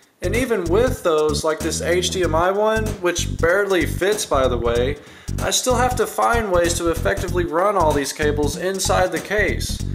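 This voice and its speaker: Music can be heard in the background. The speech moves at a moderate pace. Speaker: hobbyist PC builder. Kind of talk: tech build narration. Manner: trying to be less monotone, somewhat strained.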